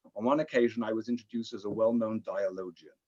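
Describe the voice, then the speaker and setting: Speaking very fast with a British accent, a man has a dark, mellow tone, a medium pitch and ordinary pitch variation. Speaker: rabbi and interfaith diplomat. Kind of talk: lecture.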